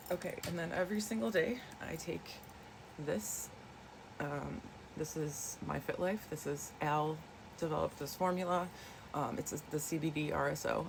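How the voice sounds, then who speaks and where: The voice shows ordinary pitch variation over noticeable background noise. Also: woman. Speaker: wellness vlogger. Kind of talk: casual chat. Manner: soft-spoken; hesitant, many fillers.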